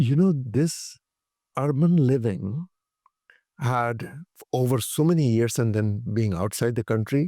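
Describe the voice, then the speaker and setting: In an Indian accent, the speaker talks at a fairly slow pace with long, frequent pauses and very even loudness. The tone is dark and mellow, the intonation lively, and the recording very clean with a silent background. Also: man, medium pitch for a man. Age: 70s. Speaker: physicist, former tech executive, pilgrim walker. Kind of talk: interview answer.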